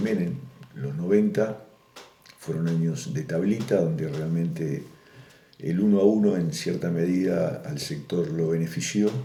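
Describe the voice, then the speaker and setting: A man's very deep, low voice with lively intonation at a fairly slow pace, with audible room echo and noticeable background noise. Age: 60s. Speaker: farmer. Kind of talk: oral history interview. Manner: hesitant, with many fillers.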